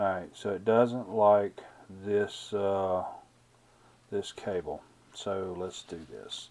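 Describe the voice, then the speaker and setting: A man talks very slowly with long, frequent pauses. His pitch is fairly low, with fairly even intonation. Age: 50s. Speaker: YouTube product reviewer. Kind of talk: product review tutorial. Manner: halting, many filler words; casual, unscripted. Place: workshop.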